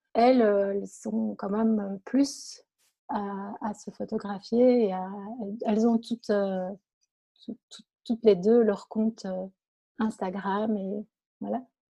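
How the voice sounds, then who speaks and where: Very slowly and with long, frequent pauses, a woman speaks in a fairly high, somewhat breathy voice with a dark, mellow tone, fairly even intonation and big swings in loudness. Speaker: blogger and author. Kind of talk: interview. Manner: calm, soft-spoken; halting, repeats words.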